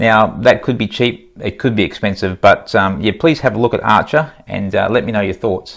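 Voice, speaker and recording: A man is speaking. He has an Australian accent. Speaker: stock market YouTuber. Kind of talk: casual vlog commentary. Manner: casual, hesitant with fillers.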